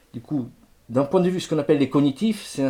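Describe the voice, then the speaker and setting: A man in an Italian accent, dark and mellow in tone, on a very clean recording with a silent background. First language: Italian (speaking French). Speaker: music lecturer. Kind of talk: lecture. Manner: halting, with frequent repetitions.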